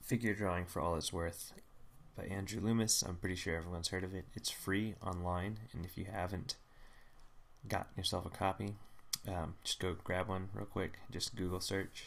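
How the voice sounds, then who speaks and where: A soft-spoken man talks at a moderate pace with a very deep, low pitch. His intonation is monotone and flat. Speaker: artist live-streaming drawing studies. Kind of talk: live stream tutorial.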